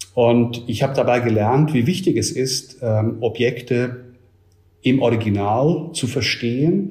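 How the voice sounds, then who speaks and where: Audible room echo surrounds a man talking at a medium pitch. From Switzerland. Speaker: museum director. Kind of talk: interview.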